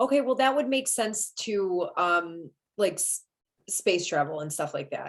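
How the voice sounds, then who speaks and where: A woman with a Michigan accent at medium pitch, very wide pitch swings and a fairly slow pace. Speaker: astrologer, live stream host. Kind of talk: casual live stream conversation.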